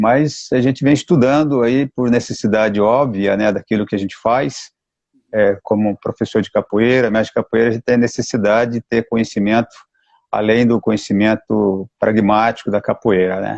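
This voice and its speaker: This man has a normal speaking voice at medium pitch, talking at a moderate pace with fairly even intonation in a dry, close sound with no echo. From Mato Grosso do Sul, Brazil (Campo Grande). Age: 60s. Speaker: capoeira master. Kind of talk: live stream interview.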